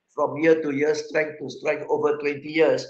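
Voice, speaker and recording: A man is talking. His pitch is fairly high. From Singapore. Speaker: motivational speaker. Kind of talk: motivational talk. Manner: code-switching Indonesian and English.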